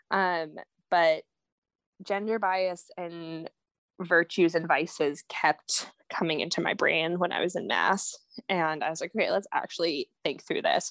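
A woman speaks in a plain, everyday voice at a fairly low pitch, fairly slow pace and with fairly even intonation. The recording is very clean with a silent background and a dry, close sound with no echo. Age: 20s. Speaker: spoken word poet and author. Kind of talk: casual interview.

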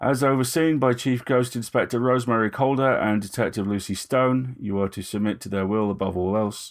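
A man mumbles in a put-on character voice at a medium pitch. He talks at a fairly quick pace. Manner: mumbling, perfunctory, officious.

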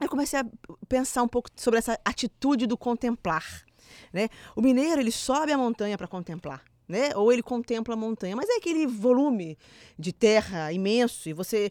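A woman talks in a normal speaking voice with a fairly high pitch, lively intonation and a fairly quick pace. The recording is very clean with a silent background, dry and close with no echo. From Minas Gerais, Brazil. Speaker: podcast host. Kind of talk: casual chat. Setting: studio.

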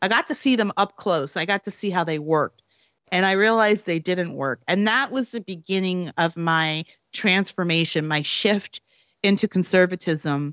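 A woman talks in a normal speaking voice. Her pace is moderate. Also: medium pitch for a woman, ordinary pitch variation. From Canada, Prince Edward Island. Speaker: political commentator and author. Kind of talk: interview.

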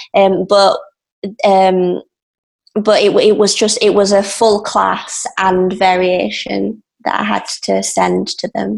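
A woman with an English accent at a very slow pace. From England. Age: 20s. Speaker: ballet dancer. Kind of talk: interview. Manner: halting.

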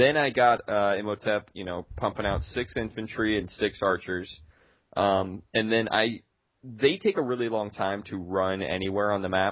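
In an unremarkable speaking voice, a man talks at a moderate pace and fairly low pitch with ordinary pitch variation. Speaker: gaming podcast co-host. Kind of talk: casual chat.

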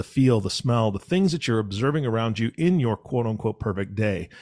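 With an unremarkable speaking voice, a man talks at a fairly quick pace and medium pitch with lively intonation, in a very clean recording with a silent background. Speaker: podcast co-host. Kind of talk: casual chat.

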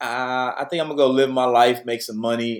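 In an American accent, a man talks at a moderate pace with fairly even intonation and an unremarkable speaking voice. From Detroit, west side. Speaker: youth pastor. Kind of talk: interview conversation.

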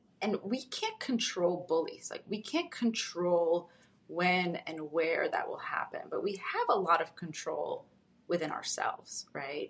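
A woman's delivery is fairly slow. Noticeable noise sits in the background. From Moldova. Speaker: clinical psychologist. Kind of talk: casual interview. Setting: video call. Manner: calm.

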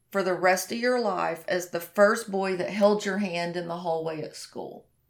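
The recording is very clean, with a silent background. A woman speaks at a medium pitch with an American accent. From Oklahoma, US. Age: 50s. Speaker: hairdresser and horse rider. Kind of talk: interview, casual chat.

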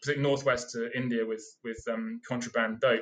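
A man speaks with a British accent at a medium pitch. His delivery is fairly slow, monotone and flat. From UK. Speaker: seed collector. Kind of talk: casual interview. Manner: halting.

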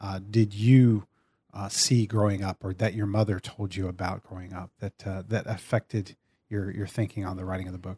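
A man with an American accent speaks in a fairly low, somewhat breathy voice. The sound is dry and close, with no echo. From Central Texas. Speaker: podcast host. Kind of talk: interview. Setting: in-person studio recording.

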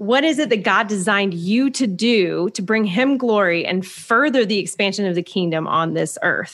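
A woman with a plain, everyday voice speaks at medium pitch and a moderate pace, with hardly any pauses. The recording is very clean, with a silent background. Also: lively intonation. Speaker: podcast host. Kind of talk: interview.

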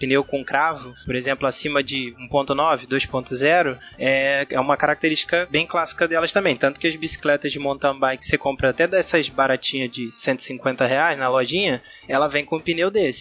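A man speaks with a plain, everyday voice at a moderate pace. His pitch is fairly high and his intonation fairly even. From Rio de Janeiro, Brazil. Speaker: cyclist. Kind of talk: casual chat.

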